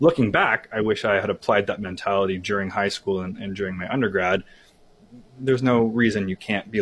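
With an unremarkable speaking voice, a man talks at a fairly quick pace in a fairly low register with ordinary pitch variation. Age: young. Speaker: career development software staff. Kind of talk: interview.

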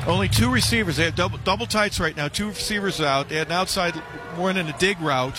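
Over music in the background, a man talks at a very fast pace with a fairly high pitch and lively intonation. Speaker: color analyst. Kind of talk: live color commentary. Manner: conversational, analytical.

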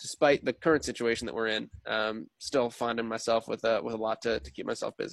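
A plain, everyday voice with an American accent moves at a fairly quick pace with ordinary pitch variation, in a dry, close sound with no echo. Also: man. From New Jersey, US. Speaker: sports play-by-play broadcaster. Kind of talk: casual interview chat.

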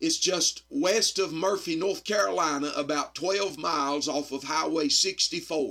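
A man in a Southern US accent, fairly high-pitched, fairly slow with hardly any pauses, and ordinary pitch variation. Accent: US South. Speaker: evangelist. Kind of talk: sermon. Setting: radio studio recording.

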